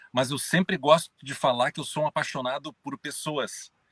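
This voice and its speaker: In a southern Brazilian accent, a man talks at a moderate pace with ordinary pitch variation. The sound is dry and close, with no echo. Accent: gaúcho. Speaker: journalist and business consultant. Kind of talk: live stream interview. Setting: in his car.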